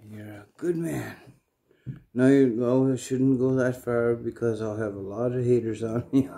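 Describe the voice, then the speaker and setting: A man at a fairly slow pace with ordinary pitch variation and music in the background. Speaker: comic vlogger. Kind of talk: casual vlog chat. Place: home room. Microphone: phone near.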